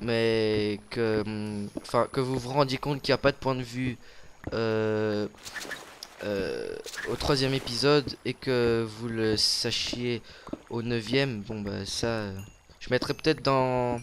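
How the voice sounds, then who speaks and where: A man talks at a very slow pace, with long, frequent pauses. His voice sits at a medium pitch with fairly even intonation, over noticeable background noise. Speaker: gaming YouTuber. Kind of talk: casual gameplay commentary. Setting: recording together at home. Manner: loud.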